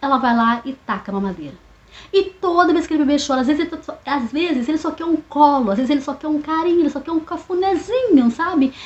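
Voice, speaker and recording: A woman talks at a very fast pace with a high pitch. Her intonation is lively. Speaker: therapist. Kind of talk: educational monologue. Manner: casual, hesitant.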